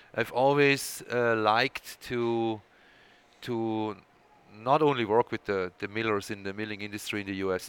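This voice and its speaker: The speaker has a Swiss accent and a fairly slow pace. The sound is dry and close, with no echo. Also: man. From Switzerland. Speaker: milling technology executive. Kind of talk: interview. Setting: coffee shop.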